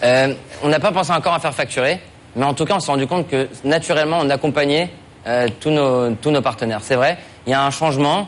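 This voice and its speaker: Fairly quick speech in an unremarkable speaking voice, its pitch varying in an ordinary way. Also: man. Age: 20s. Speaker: startup founder, contest finalist. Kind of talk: pitch and Q&A. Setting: TV studio.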